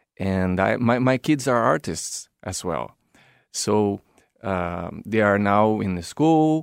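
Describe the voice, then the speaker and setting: The voice has a Brazilian accent and lively intonation at a very slow pace. The recording is very clean with a silent background and a dry, close sound with no echo. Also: man. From São Paulo, Brazil. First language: Portuguese. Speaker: circus performer, clown and drummer. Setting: studio.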